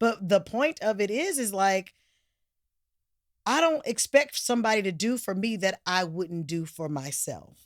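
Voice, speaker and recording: Loud and animated, a woman speaks fairly slowly at a medium pitch with very wide pitch swings. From Oakland, California. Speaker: actress and singer. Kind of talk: casual interview chat.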